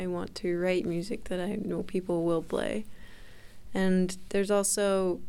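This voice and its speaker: With an American accent and a dark, mellow tone, a woman at medium pitch speaks at a moderate pace with fairly even intonation, with audible room echo. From Utah, US. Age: 20s. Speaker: music student. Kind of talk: interview answers.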